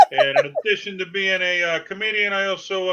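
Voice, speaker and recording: A man with a Boston accent talks at a moderate pace. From Massachusetts, New England. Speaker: stand-up comedian. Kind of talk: casual interview chat.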